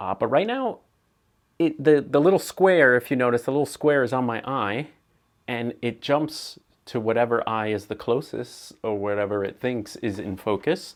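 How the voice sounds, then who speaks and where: On a very clean recording with a silent background, a man speaks at a moderate pace. His tone is animated, with ordinary pitch variation. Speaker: photographer and camera reviewer. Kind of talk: unedited camera test video. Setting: indoors, poor lighting, talking to camera. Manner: casual, animated.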